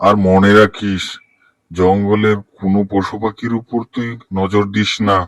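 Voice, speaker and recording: This is a cartoonish character voice. It moves at a fairly slow pace with monotone, flat intonation. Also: man, fairly low pitch for a man. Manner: authoritative, commanding.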